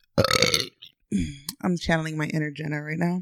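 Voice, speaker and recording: A woman with an American accent and an unremarkable speaking voice, fairly low in pitch and fairly quick, on a very clean recording with a silent background. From Austin, Texas. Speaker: podcast co-host. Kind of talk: casual chat.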